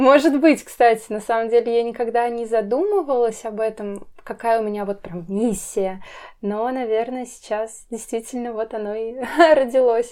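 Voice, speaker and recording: Over a silent background in a very clean recording, a woman with a fairly high pitch and a dark, mellow tone talks at a moderate pace with fairly even intonation. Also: big swings in loudness. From Russia, Nizhny Novgorod. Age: 20s. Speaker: travel blogger. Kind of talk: interview.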